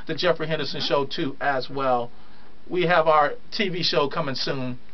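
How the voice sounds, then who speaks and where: A man speaks in an animated tone with ordinary pitch variation. There is audible room echo and noticeable background noise. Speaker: radio talk show host. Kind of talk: live radio chat. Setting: radio studio, also streamed on video. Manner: fast.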